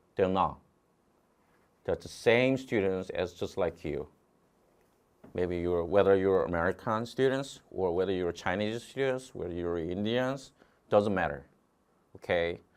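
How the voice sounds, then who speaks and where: Speaking with a Korean accent, a man has a very deep, low pitch and ordinary pitch variation. His pace is fairly slow, with long, frequent pauses. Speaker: test prep instructor. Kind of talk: online lecture. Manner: repetitive filler 'okay'.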